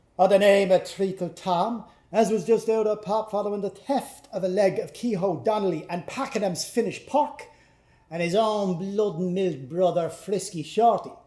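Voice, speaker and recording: A man's high-pitched voice at a moderate pace. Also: ordinary pitch variation. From Irish-Canadian. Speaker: actor. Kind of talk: literary reading before a live audience. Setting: live performance in a pub.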